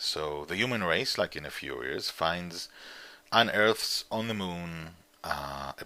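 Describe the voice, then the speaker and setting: A man with an Israeli accent speaks in a very deep, low voice, his tone bright and sharp and his pitch varying in an ordinary way. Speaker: comic book writer and publisher. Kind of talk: interview. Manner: halting.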